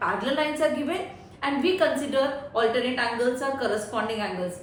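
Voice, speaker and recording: Amid noticeable background noise and audible room echo, a woman speaks at a high pitch with very wide pitch swings. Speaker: math teacher. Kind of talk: tutorial. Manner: slow, deliberate.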